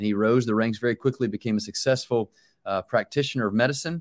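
A man with an American accent has an unremarkable speaking voice at medium pitch with ordinary pitch variation. The recording is very clean, with a silent background and a dry, close sound with no echo. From US South, Charlotte, North Carolina. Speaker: pastor. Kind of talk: interview.

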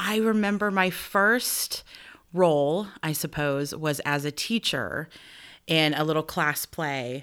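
In a very clean recording with a silent background, a woman with a US Midwestern accent speaks at a very deep, low pitch. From Nebraska, US Midwest. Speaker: theater director and actor. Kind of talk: interview conversation.

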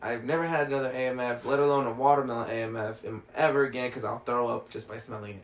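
With an American accent, a man talks at a very fast pace in a medium pitch, keeping his intonation fairly even while his loudness swings widely. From Mexican heritage, US. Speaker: podcast co-host. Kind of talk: casual chat.

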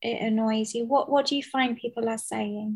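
A woman's fairly high voice, dark and mellow in tone, with ordinary pitch variation at a moderate pace against a quiet background. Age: 30s. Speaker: podcast host. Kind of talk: casual interview. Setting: remote call.

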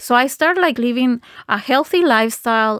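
A woman with a Spanish accent, fairly high in pitch, at a fairly slow pace, with lively intonation, in a very clean recording with a silent background and a dry, close sound with no echo. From Guatemala. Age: 40s. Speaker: facial yoga teacher. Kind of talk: interview.

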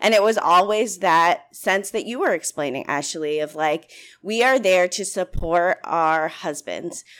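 A woman with a plain, everyday voice and an American accent, medium pitch, ordinary pitch variation and moderate pace, on a very clean recording with a silent background. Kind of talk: casual chat.

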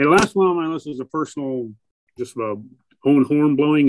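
A man's ordinary speaking voice at a moderate pace with ordinary pitch variation. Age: 50s. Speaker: horror TV show host and filmmaker. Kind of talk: casual interview chat.

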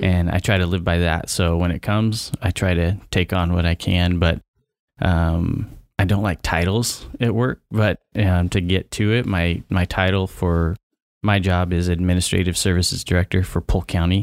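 In an American accent, a man with a very deep, low pitch talks at a moderate pace with fairly even intonation and very even loudness, recorded very cleanly against a silent background with a dry, close sound and no echo. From eastern Oregon, near Idaho border. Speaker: county administrative services director. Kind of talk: casual chat. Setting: studio.

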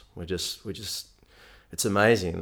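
Set against a silent background in a very clean recording, a man speaks at a moderate pace with an Australian accent. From Melbourne, Australia. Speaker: nutrition coach. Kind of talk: interview.

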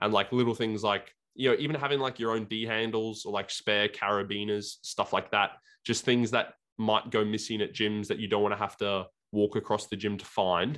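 The speaker has an Australian accent and fairly even intonation. The pace is moderate. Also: man, fairly low pitch for a man. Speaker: bodybuilding podcast co-host. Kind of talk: casual chat. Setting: video call.

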